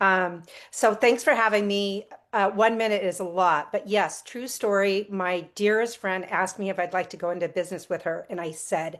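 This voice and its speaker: Woman with an ordinary speaking voice, medium pitch, ordinary pitch variation and moderate pace, in a very clean recording with a silent background. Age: 60s. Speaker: retired nurse, customer. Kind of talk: testimony.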